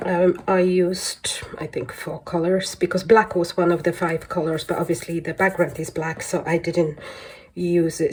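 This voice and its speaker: A woman talks at a moderate pace in a fairly low pitch, her intonation fairly even, with noticeable background noise present. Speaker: colouring hobby vlogger. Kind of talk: casual show-and-tell vlog. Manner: relaxed, hesitant with fillers.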